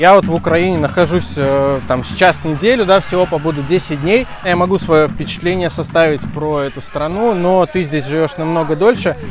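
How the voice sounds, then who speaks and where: The man talks at a moderate pace, and noticeable background noise is present throughout. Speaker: football travel vlogger. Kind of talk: vlog commentary. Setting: outdoors at stadium.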